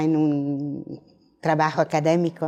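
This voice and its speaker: A woman's dark, mellow voice with a non-native accent. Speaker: professor. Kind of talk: lecture. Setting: auditorium. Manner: halting.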